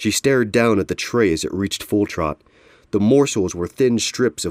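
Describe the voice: The clip is plain reading aloud.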